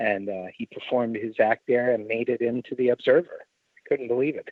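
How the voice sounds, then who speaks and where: A man with an unremarkable speaking voice talks fairly quickly at a medium pitch, with fairly even intonation and big swings in loudness. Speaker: ringmaster and circus performer. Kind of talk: interview answer.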